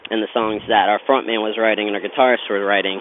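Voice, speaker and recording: Through noticeable background noise, a man talks at a very fast pace in a fairly low pitch with monotone, flat intonation. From Pittsburgh, Pennsylvania (South Hills). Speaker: singer-songwriter. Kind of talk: interview.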